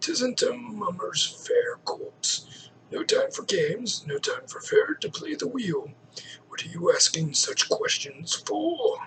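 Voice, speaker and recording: A raspy, put-on character voice mumbles its lines. The pace is fairly slow. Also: man, extremely high pitch for a man. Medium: solo performance. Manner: sly, mumbling, refers to himself by name.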